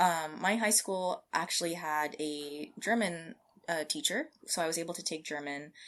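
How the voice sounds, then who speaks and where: Recorded very cleanly against a silent background, a woman with an American accent speaks in an unremarkable speaking voice, fairly low in pitch, at a moderate pace with ordinary pitch variation. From California, US. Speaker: scientist. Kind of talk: interview.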